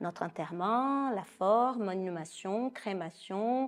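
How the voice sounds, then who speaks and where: A woman speaks with a Brazilian accent against a quiet background. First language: Portuguese (speaking French). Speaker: psychoanalyst. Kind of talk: interview.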